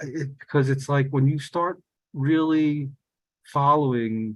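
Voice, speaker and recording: A man's medium-pitched voice with ordinary pitch variation at a very slow pace. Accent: New York. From New York City, South Bronx. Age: 60s. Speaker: peace project co-founder. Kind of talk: testimony. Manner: halting, many repetitions and fillers.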